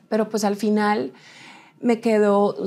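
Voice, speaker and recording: In a dark, mellow tone, a woman talks at a fairly slow pace. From Colombia. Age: 30s. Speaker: TV presenter and model; TV presenter. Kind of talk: interview. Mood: reflective, emotional, personal. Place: studio.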